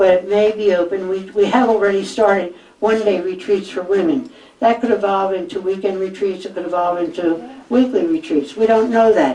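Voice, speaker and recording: Over noticeable background noise, a woman speaks at a fairly quick pace. Her pitch is medium with ordinary pitch variation. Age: 80s+. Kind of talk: public talk with audience Q&A.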